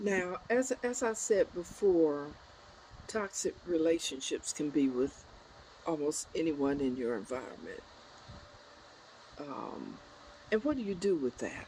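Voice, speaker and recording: A woman's dark, mellow tone, fairly low in pitch, at a fairly slow pace with very wide pitch swings and long, frequent pauses. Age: 70s. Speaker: spiritual life coach. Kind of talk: motivational talk. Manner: halting.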